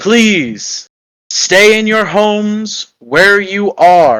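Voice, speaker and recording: Loud and high-pitched, a man puts on a character voice and speaks at a very slow pace. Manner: commanding, menacing.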